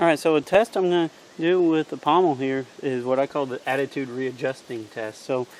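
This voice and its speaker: With a Missouri accent, a man talks at a fairly quick pace in a fairly high pitch, with ordinary pitch variation. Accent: Missouri rural. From US Midwest, Missouri. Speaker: outdoors knife reviewer. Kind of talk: product review demonstration. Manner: casual, hesitant with fillers.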